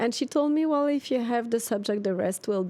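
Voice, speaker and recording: A woman speaks in a dark, mellow tone with a French accent. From Switzerland. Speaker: expat coach and author. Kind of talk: interview. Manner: hesitant.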